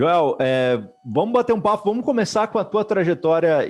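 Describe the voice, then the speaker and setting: His voice swings very widely in pitch as the man speaks. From Brazil. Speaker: entrepreneurship event host. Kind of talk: interview.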